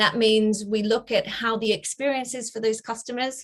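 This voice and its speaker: A woman at a moderate pace, with an Australian accent. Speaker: bank director. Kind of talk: career talk. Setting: video call. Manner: hesitant, many fillers.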